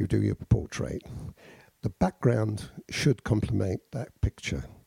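A man speaks in a dark, mellow tone that is somewhat breathy. The sound is dry and close, with no echo. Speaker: podcast host, art teacher. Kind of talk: casual chat.

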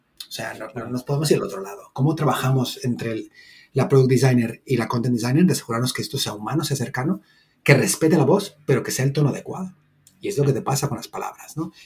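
Speaking at a very fast pace, a man with a Latin American accent has a medium pitch and a somewhat breathy voice. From Mexico. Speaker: content designer. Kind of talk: casual chat.

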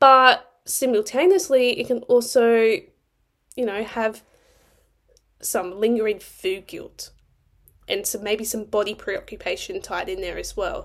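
Speaking fairly slowly with an Australian accent, a woman has a fairly high pitch and lively intonation. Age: 20s. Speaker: nutrition coach and podcast host. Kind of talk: solo podcast monologue. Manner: animated.

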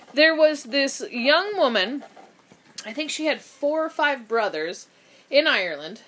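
A woman speaks loudly in a high voice. Her intonation is lively. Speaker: podcast co-host. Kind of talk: casual chat. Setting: studio.

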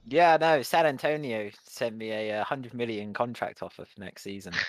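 Lively intonation from a man with a British accent, at a moderate pace, on a very clean recording with a silent background. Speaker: podcast co-host. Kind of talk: casual chat. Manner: jokey, laughs often.

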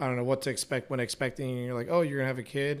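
A man talks at a very fast pace in a medium-pitched voice. His intonation stays monotone and flat. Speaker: guest, former drill instructor. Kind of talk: casual chat.

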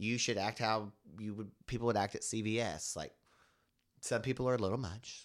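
With an American accent, a man speaks at a moderate pace and medium pitch, using fairly even intonation in an unremarkable speaking voice, on a very clean recording with a silent background. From rural Oklahoma. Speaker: cannabis consultant. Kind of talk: casual chat.

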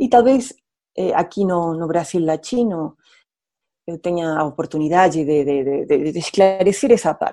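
A woman with a dark, mellow tone and fairly low pitch talks at a fairly slow pace with lively intonation. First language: Spanish (speaking Portuguese). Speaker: international relations professor, widow of a diplomat. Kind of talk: radio interview. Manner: halting, repeats words, mixes Spanish and Portuguese.

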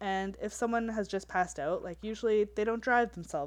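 The speaker reads aloud. The voice sounds natural.

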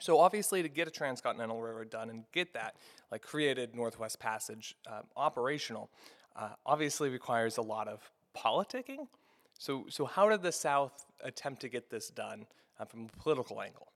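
At a fairly quick pace, a man with a plain, everyday voice speaks at medium pitch, with lively intonation and big swings in loudness. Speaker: podcast host. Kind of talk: interview.

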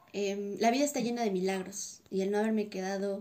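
A woman's medium-pitched voice, dark and mellow in tone, with fairly even intonation at a moderate pace. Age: 20s. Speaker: dancer. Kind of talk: casual interview; scripted narration.

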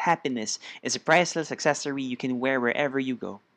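Speaking with a Filipino accent, a man uses a medium pitch and ordinary pitch variation at a fairly quick pace. The sound is dry and close, with no echo. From Philippines. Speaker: spoken word poet. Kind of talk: casual podcast interview, Taglish. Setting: podcast interview.

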